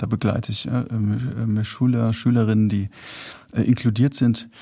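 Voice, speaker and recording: His voice has a dark, mellow tone and a medium pitch. The man sounds somewhat breathy. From Rheinhessen, Germany. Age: 40s. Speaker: singer-songwriter and author. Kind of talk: casual chat. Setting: theater with live audience.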